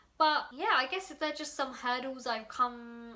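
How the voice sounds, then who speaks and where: Someone speaks with a London accent over noticeable background noise. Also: woman. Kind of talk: casual vlog. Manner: fast.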